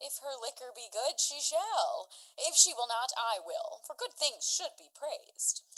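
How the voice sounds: A woman uses a put-on character voice with high pitch, a fairly bright tone, big pitch swings and a fairly slow pace.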